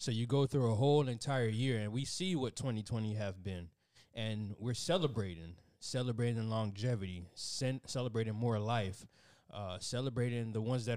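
Recorded very cleanly against a silent background, a man with an unremarkable speaking voice speaks at a medium pitch and moderate pace with ordinary pitch variation. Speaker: podcast co-host. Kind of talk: casual chat.

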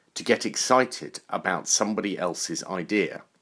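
Lively intonation and vocal fry mark this man's fairly low-pitched voice. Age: 40s. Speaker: podcaster. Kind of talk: reflective monologue.

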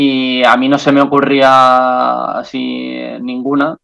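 A man with an Andalusian accent and a medium pitch. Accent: Andalusian (Jaén), keeps it. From Andalusia, Jaén. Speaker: journalist, news agency correspondent. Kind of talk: casual interview.

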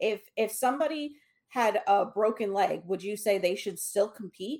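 Fairly slow and fairly high-pitched, a woman speaks in an unremarkable speaking voice with ordinary pitch variation. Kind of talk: casual chat. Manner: casual, conversational.

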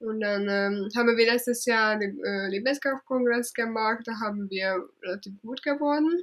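Ordinary pitch variation runs through this voice at a moderate pace. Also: woman. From Hungary. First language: Hungarian (speaking German). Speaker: travel blogger. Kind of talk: interview. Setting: at her parents' home.

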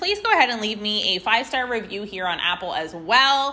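A woman speaks in a raised, projected voice with an animated tone and very wide pitch swings over noticeable background noise. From Canada. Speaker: podcast host. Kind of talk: casual interview; podcast intro and outro monologue.

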